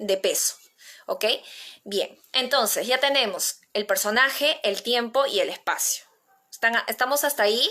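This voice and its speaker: With a Peruvian accent, a woman speaks in a bright, sharp tone at a moderate pace, her pitch varying in an ordinary way. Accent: Peruvian Spanish (Lima). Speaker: playwriting teacher. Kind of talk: online workshop lecture.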